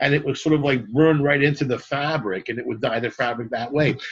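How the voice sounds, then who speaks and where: A man talks with a fairly high pitch. His voice is somewhat breathy. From Canada, Montreal. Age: 60s. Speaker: rock t-shirt merchandise entrepreneur. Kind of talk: podcast interview. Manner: animated.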